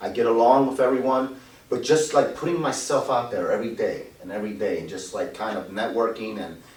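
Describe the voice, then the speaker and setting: A man at a fairly quick pace, with big swings in loudness, audible room echo, and noticeable background noise. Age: 50s. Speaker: loan officer. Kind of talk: interview. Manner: halting.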